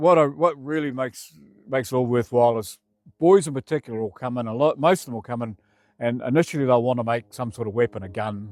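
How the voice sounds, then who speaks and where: A man with a New Zealand accent at a fairly quick pace, in a very clean recording with a silent background and a dry, close sound with no echo. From New Zealand (Feilding). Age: 60s. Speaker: community volunteer. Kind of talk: interview testimony. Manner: casual, halting.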